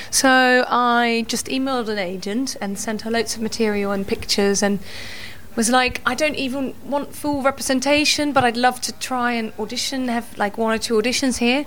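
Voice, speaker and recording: Against noticeable background noise, a woman speaks in a high voice with fairly even intonation. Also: moderate pace. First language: Dutch. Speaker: musical theatre actress. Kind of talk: casual chat.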